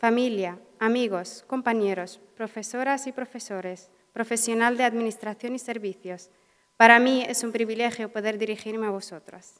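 A woman with a Mauritanian accent talks at a moderate pace and fairly high pitch, her intonation fairly even over a quiet background. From Western Sahara. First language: Hassaniya Arabic (speaking Spanish). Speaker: social work graduate. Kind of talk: graduation speech. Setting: auditorium with audience. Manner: halting. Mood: emotional, grateful. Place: hall. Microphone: podium.

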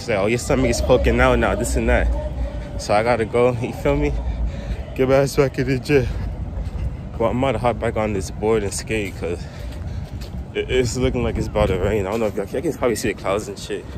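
Noticeable background noise sits under the recording. A man speaks at a very fast pace in a fairly low voice. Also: dry sound with no echo. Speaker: vlogger. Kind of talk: casual vlog chat. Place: street. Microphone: phone near.

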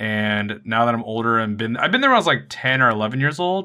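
A man talks. He moves at a fairly quick pace. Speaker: vlogger. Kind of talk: casual vlog chat. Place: home room.

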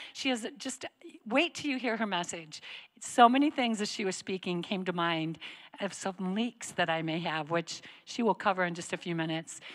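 Over a quiet background, a woman speaks with a bright, sharp tone. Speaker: church campus director host. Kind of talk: church announcements and welcome. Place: stage. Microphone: handheld.

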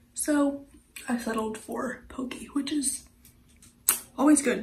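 A woman's voice has a dark, mellow tone, with audible room echo around it.

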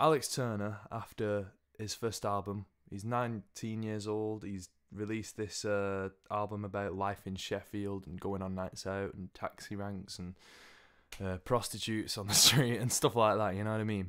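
Speaking at a moderate pace, a man talks with an English accent. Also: fairly low pitch for a man, fairly even intonation, quiet background. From England. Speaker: music video blogger. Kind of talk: casual opinion monologue. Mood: relaxed, opinionated. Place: home room. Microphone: studio mic.

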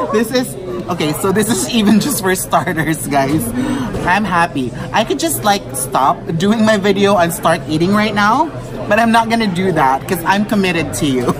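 Lively intonation from a man, with crowd noise in the background. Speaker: food vlogger. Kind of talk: casual vlog chat. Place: bar. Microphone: phone near.

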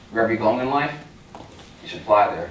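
A man with an American accent in an upbeat tone, with light background noise and audible room echo. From Long Island, New York. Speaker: youth motivational speaker. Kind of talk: motivational pep talk to a university audience. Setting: stage with audience. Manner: earnest, emphatic, direct; upbeat, inspiring, warmly humorous. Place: hall.

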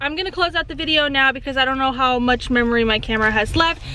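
A high-pitched woman talks at a very fast pace with ordinary pitch variation, in a dry sound with no echo and light background noise. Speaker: family vlogger. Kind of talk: casual vlog chat. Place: car. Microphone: phone near.

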